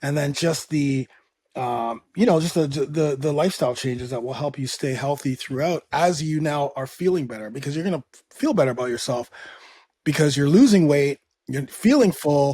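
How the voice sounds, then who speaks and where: A man speaks at a moderate pace in a fairly high voice for a man, somewhat breathy, with ordinary pitch variation, on a very clean recording with a silent background. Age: 50s. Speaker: fitness coach and podcast host. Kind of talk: podcast interview.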